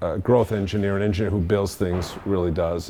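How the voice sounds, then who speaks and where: In a Boston accent, a man with a fairly low pitch talks at a fairly quick pace. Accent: Boston accent, mostly retained. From Boston area, US Northeast. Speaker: engineer and industry veteran speaker. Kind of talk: career talk to students. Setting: meetup audience at a university. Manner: casual, with frequent fillers and restarts.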